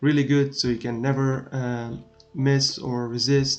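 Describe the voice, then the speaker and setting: Music plays behind a man speaking at a medium pitch. His intonation stays monotone and flat. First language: not English. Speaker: gaming streamer. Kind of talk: tutorial. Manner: hesitant, many filler sounds. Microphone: laptop recording, not the best quality.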